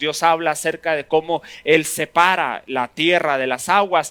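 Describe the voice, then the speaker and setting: The voice moves at a fairly slow pace with a bright, sharp tone. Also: man. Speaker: pastor teaching a Bible class. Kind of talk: sermon-style Bible teaching. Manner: animated.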